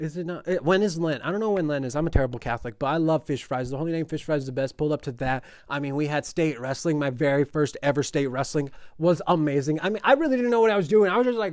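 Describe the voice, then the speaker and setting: A man with an American accent talks very fast in a fairly high-pitched, animated voice with lively intonation. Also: very clean recording, silent background. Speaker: podcast host, sports content creator. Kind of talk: casual podcast monologue.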